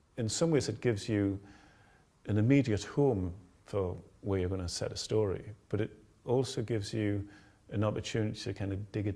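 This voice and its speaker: With a Geordie accent, a man speaks at a moderate pace in a fairly low, somewhat breathy voice of dark, mellow tone and ordinary pitch variation. The recording is very clean, with a silent background. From northern England, Tyneside. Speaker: author. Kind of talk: interview.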